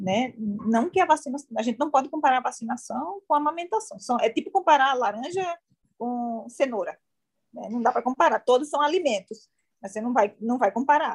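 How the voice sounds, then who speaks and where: A woman's high, lively voice at a fairly quick pace, with a dry, close sound and no echo. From Northeast Brazil, João Pessoa. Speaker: infectious disease doctor. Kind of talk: interview.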